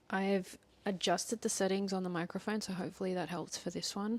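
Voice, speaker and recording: A soft-spoken woman with a medium pitch talks at a fairly quick pace in a monotone, flat way, in a very clean recording with a silent background. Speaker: tarot reader. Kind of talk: tarot reading.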